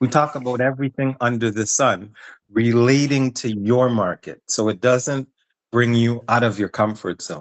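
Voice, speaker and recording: A man at a moderate pace speaks in a plain, everyday voice. His pitch is medium, with ordinary pitch variation. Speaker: business promoter pitching a workshop partnership. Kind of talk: business pitch call.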